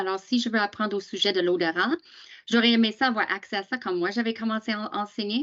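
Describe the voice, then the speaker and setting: Speaking with an English accent, a woman uses a fairly high pitch with ordinary pitch variation. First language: English (speaking French). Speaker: teacher association presenter. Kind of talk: training webinar. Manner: halting, many hesitations.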